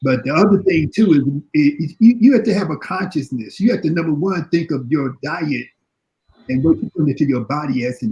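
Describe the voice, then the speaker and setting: This is a man's dark, mellow voice at a fairly high pitch, with an American accent. He keeps a moderate pace. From Chicago. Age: 60s. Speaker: panelist on health and diet. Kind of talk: panel discussion. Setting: live online video panel. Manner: halting, repetitive.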